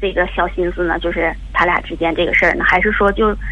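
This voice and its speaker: A woman talks fairly quickly in a space with audible room echo, with noticeable background noise present too. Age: 40s. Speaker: caller, mother of a teenage daughter. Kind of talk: call-in advice conversation. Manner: halting, many fillers.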